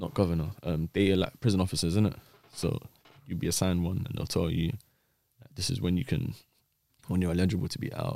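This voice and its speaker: The voice has a London accent and a dark, mellow tone, with ordinary pitch variation and big swings in loudness. It moves at a very fast pace yet has long, frequent pauses. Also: man, very deep, low pitch for a man. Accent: London Multicultural English. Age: 20s. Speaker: former dark web vendor. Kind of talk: podcast interview.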